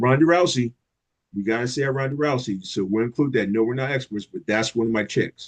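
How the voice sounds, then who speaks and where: An American-accented man speaks fairly quickly at a medium pitch, with ordinary pitch variation and an animated tone. The sound is dry and close, with no echo. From New York, Long Island. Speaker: youth program leader. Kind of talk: casual interview chat. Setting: live video stream.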